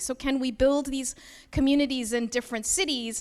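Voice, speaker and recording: A woman with a Canadian accent at a very fast pace. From Canada. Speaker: nonprofit co-founder. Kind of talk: opening remarks speech.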